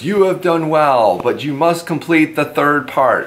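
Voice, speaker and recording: At a fairly slow pace, a man delivers a put-on character voice pitched fairly high. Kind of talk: motivational talk to camera. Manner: pompous, commanding.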